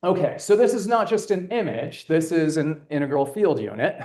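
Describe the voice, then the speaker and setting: A loud man with a dark, mellow tone swings his pitch very widely at a moderate pace, with audible room echo. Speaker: astronomer presenting an instrument. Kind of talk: conference talk.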